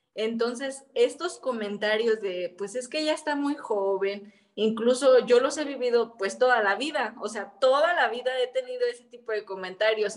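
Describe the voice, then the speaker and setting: A woman speaks in a fairly high pitch. Her pace is moderate, with noticeable background noise. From Mexico, Michoacán (Quiroga). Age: 30s. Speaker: activist and entrepreneur, former local councillor. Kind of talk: interview conversation.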